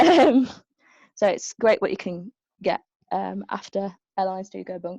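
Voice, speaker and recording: In a Birmingham accent, a woman speaks at a moderate pace with big swings in loudness and long, frequent pauses, in a dry, close sound with no echo. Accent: Birmingham (Brummie). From Birmingham, England. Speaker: aerospace engineering graduate, panelist. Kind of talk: webinar career talk. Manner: hesitant, many fillers.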